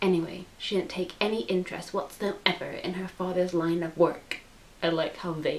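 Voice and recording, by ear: Fairly even intonation, with reading aloud in a natural voice.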